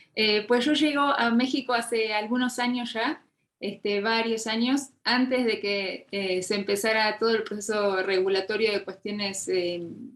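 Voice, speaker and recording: Speaking at a fairly slow pace with hardly any pauses, a woman keeps her intonation fairly even. Her pitch is fairly high. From Argentina. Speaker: fintech lawyer, legal consultant. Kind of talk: interview conversation.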